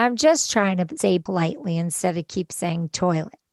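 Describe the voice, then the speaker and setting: Recorded with a dry, close sound and no echo, a woman talks at a medium pitch with ordinary pitch variation. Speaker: podcast host, cancer survivor, charity founder. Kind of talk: personal reflection monologue. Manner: softer than usual.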